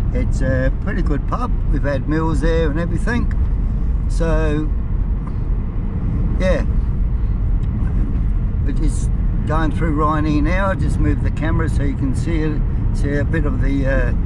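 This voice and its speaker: Long, frequent pauses break up the speech, with loud background noise and a dry sound with no echo. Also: fairly slow pace. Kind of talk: casual travel commentary. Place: car. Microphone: phone near.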